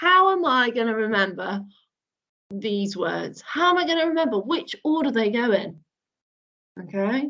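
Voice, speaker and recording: With a slight northern UK accent, the speaker moves at a moderate pace. The pitch swings very widely, and the pauses are long and frequent. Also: woman, fairly high pitch for a woman. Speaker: primary school teacher. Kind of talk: online lesson for young children. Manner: animated.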